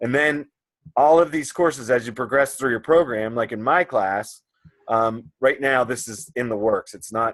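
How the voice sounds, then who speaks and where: With a normal speaking voice at medium pitch, a man talks at a moderate pace with ordinary pitch variation and big swings in loudness. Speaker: college instructor. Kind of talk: one-on-one tutorial over video call.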